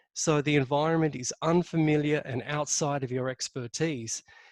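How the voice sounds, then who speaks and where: With an Australian accent, a man talks at a fairly high pitch with fairly even intonation in a dry, close sound with no echo. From Australia, Sydney. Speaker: leadership consultant. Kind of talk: webinar presentation. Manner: speaks from chest voice.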